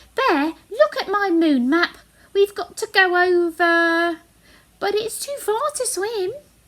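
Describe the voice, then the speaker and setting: In a put-on character voice, squeaky and raised to project, the speaker takes a fairly slow pace with an anxious tone. The pitch swings very widely. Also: woman, extremely high pitch for a woman. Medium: read story. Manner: small, anxious.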